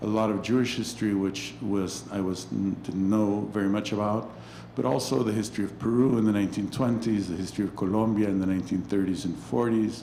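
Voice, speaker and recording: The speaker talks at a fairly quick pace with a Spanish accent and fairly even intonation. There is audible echo in the room. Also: man, fairly low pitch for a man. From Mexico. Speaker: anthropology professor and author. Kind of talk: interview conversation about his book. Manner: halting, many fillers and restarts.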